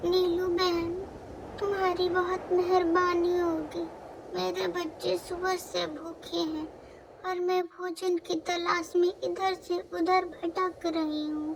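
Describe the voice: A put-on character voice with vocal fry and little pitch movement comes at a slow pace over faint background noise.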